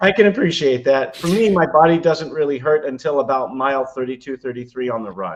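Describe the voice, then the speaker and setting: The intonation here is lively. This man talks at a fairly quick pace. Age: 60s. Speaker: trial attorney and triathlete. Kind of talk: podcast interview. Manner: frequent fillers (uh, um).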